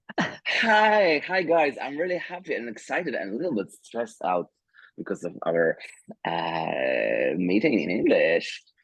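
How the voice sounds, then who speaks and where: The speaker talks at a fairly slow pace with a Polish accent. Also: man. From Poland. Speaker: French teacher. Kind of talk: interview.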